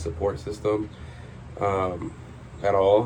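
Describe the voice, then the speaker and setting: The man's voice sits at a fairly low pitch. Room echo can be heard. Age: 20s. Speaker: vlogger. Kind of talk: personal vlog monologue. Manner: hesitant, many filler words.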